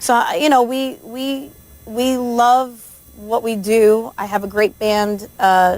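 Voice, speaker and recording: A woman's very slow voice with a New Jersey accent, fairly high-pitched, with ordinary pitch variation. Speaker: country singer. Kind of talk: radio interview. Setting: radio studio.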